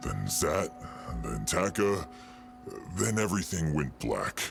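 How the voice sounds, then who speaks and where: A man's put-on character voice, very deep and low in pitch, at a fairly slow pace with clear music in the background. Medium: machinima. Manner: hesitant, stammering with fillers.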